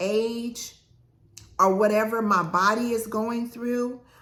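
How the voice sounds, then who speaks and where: A woman's bright, sharp voice, fairly high in pitch, at a very slow pace with fairly even intonation. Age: 60s. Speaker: lifestyle vlogger. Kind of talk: casual talk to camera.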